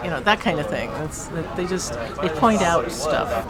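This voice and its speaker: Lively and fairly quick, a woman talks with audible room echo. Crowd noise runs in the background. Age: 70s. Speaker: retiree describing alien contact experiences. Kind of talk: interview testimony. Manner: animated.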